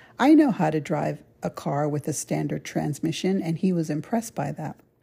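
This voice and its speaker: A woman speaks at a moderate pace in a very deep, low pitch, her tone dark and mellow and somewhat breathy. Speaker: podcast host storyteller. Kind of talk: storytelling monologue. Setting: recording remotely. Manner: laughs often while talking.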